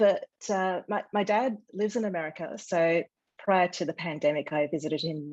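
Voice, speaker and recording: A woman with an Australian accent talks at a moderate pace in a fairly low pitch. Her pitch varies in an ordinary way, over a quiet background. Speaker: author. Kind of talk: interview. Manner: hesitant, many fillers.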